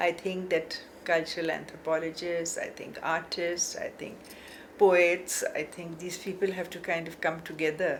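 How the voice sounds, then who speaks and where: Amid noticeable background noise, a woman speaks at a moderate pace with a fairly low pitch, monotone, flat intonation and big swings in loudness. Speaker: art academic. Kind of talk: interview.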